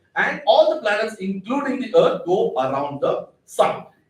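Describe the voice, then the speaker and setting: A high-pitched male voice with very wide pitch swings and audible room echo. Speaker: astrophysicist giving public science talk. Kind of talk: public lecture.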